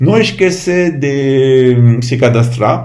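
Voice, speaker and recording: A man speaks at a very slow pace in a dark, mellow, somewhat breathy tone. Audible room echo can be heard. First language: French (speaking Portuguese). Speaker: Buddhist lama. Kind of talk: informal talk to camera. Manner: halting.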